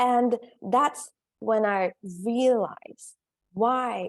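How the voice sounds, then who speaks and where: Lively intonation marks this speaker with a Korean accent, recorded with a dry, close sound and no echo. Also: woman. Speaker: career coach. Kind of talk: summit presentation.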